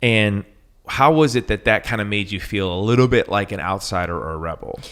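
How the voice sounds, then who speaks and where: This man has an ordinary speaking voice, fairly low in pitch with ordinary pitch variation, and talks at a fairly quick pace. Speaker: podcast host, songwriter. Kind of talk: podcast interview questions.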